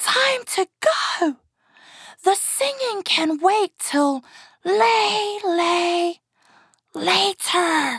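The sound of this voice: In a put-on character voice, a woman speaks at an extremely high pitch with a fairly bright tone and lively intonation. Her pace is very slow, with long, frequent pauses.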